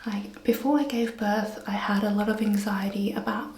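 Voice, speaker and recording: Against noticeable background noise and audible room echo, a woman with an Australian accent talks at a fairly slow pace in a fairly high pitch. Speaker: vlogger. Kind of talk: casual vlog talk. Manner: soft-spoken.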